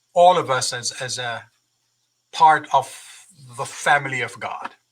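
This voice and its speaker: A man with a fairly high pitch and a bright, sharp tone speaks at a very slow pace. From Jamaica. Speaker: university president. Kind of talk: interview. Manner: halting, repeats words.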